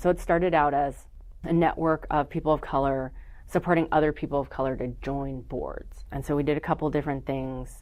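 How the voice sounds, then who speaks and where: The speaker has a slight Californian accent. The pace is moderate. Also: woman, quiet background. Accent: slight Californian in word choice. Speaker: nonprofit network founder. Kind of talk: casual interview chat. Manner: conversational, many fillers.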